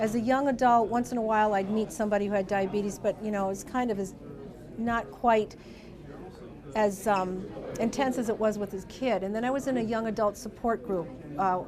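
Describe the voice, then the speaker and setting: Woman with an American accent at a fairly quick pace, medium pitch and ordinary pitch variation, plus audible room echo and noticeable background noise. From US Midwest, northwest Ohio. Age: 50s. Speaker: diabetes education nurse. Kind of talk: interview testimony.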